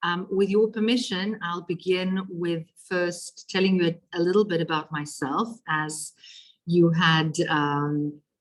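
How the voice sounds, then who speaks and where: In a South African accent, the speech moves at a very slow pace with fairly even intonation. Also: woman. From Israel (Ashdod), then South Africa. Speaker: politician. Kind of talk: lecture. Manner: halting, many fillers.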